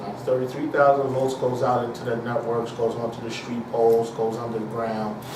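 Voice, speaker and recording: Over noticeable background noise, a man with a medium pitch talks at a moderate pace in a monotone, flat intonation. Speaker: senior substation operator. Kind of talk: interview answer.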